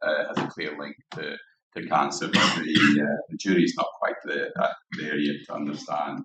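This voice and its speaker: At a moderate speed, this man talks with a Scottish accent. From Scotland, Dundee. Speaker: guest lecturer, cancer researcher. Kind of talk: lecture. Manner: halting, many fillers.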